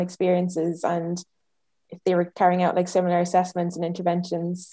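With an Irish accent, a woman speaks in a dark, mellow tone. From Ireland. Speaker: speech therapy student. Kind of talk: interview.

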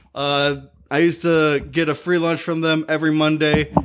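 With a Michigan accent, a man speaks at a moderate pace and high pitch on a very clean recording against a silent background. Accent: Midwestern American (Michigan). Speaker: podcast co-host, comedian. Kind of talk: casual chat.

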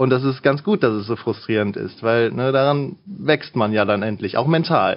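A man with an ordinary speaking voice and medium pitch talks at a moderate pace with lively intonation and hardly any pauses. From Lower Rhine, western Germany (Mönchengladbach area). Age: 20s. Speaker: gamer, fighting game player. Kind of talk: casual interview chat.

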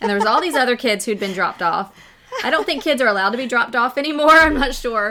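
A woman talks very fast in a high voice with very wide pitch swings. Noticeable background noise runs underneath. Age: 40s. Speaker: author. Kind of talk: casual chat.

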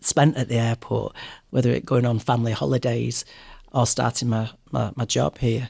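The speaker has a Mancunian accent and a moderate pace. The sound is dry and close, with no echo. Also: man. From Manchester, England. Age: 40s. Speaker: airline cabin crew. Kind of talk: interview.

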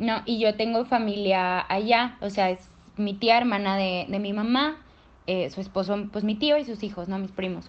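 At a fairly slow pace, a woman speaks in an unremarkable speaking voice at medium pitch with ordinary pitch variation. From Monterrey, northern Mexico. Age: 20s. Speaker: law student and feminist activist. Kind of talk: casual interview.

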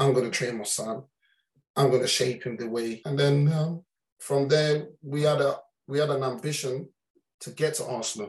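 Somewhat breathy, a man with a London accent talks at a fairly high pitch with fairly even intonation. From London, Islington. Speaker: football parent. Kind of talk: interview storytelling.

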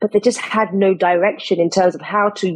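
A woman speaks at a fairly quick pace in a medium pitch, her tone slightly mellow with a slightly husky edge.

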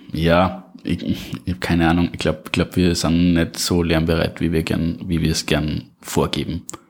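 A slight Austrian accent at a moderate pace, fairly even intonation and hardly any pauses. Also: man, very deep, low pitch for a man. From Upper Austria. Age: 20s. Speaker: podcast guest, single in advertising. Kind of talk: casual interview chat. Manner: halting, repeats words.

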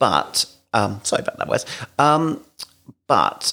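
Speaking at a moderate pace, a man talks in a southern English accent. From London, England. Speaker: podcast host, adoptive father. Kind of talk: casual chat.

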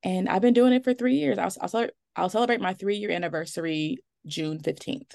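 A woman's medium-pitched voice with an American accent, a normal speaking voice, a fairly quick pace and lively intonation. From US Midwest, Milwaukee, Wisconsin. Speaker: remote social worker. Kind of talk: casual interview.

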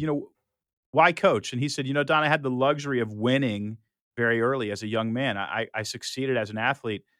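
On a very clean recording with a silent background, a man talks at a fairly quick pace in a bright, sharp tone, his medium pitch showing ordinary variation. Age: 50s. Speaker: author and business CEO. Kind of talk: interview. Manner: halting with repetitions.

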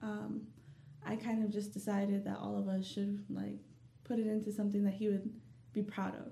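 A woman with an American accent talks at a moderate pace, her voice carrying audible room echo over noticeable background noise. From US South, Dalton, Georgia. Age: young. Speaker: small business owner. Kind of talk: interview.

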